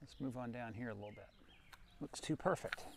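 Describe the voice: A man speaks at a fairly quick pace with vocal fry. His pitch varies in an ordinary way. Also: medium pitch for a man.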